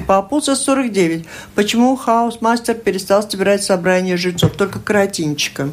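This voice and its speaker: A woman at a fairly high pitch and a moderate pace, with ordinary pitch variation and noticeable background noise. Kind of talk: radio talk show. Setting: studio.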